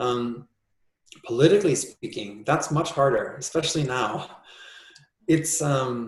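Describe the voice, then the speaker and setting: A fairly high-pitched, somewhat breathy man at a fairly slow pace, with long, frequent pauses and ordinary pitch variation. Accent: American. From US Midwest, Minnesota. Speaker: composer. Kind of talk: interview conversation. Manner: thoughtful, hesitant with fillers.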